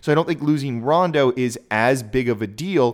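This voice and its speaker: On a very clean recording with a silent background, a man talks in a plain, everyday voice at medium pitch, with ordinary pitch variation. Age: 30s. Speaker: sports podcast host. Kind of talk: solo sports commentary podcast. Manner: casual, conversational.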